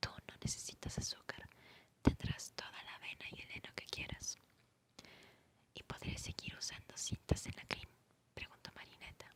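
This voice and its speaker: Whispering at a moderate pace, a woman speaks with big swings in loudness and long, frequent pauses. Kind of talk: whispered ASMR audiobook reading for sleep. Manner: whispered, soft-spoken.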